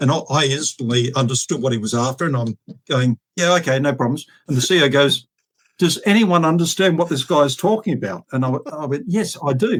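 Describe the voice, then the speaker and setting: Lively intonation marks this man's Australian accent. His voice is somewhat breathy, and he talks at a fairly quick pace. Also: fairly high pitch for a man. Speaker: retired air force officer and fighter pilot. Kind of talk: interview storytelling. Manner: hesitant, many fillers.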